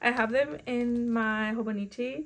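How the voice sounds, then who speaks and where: A fairly high-pitched woman with a Spanish accent. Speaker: book vlogger. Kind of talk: casual chat.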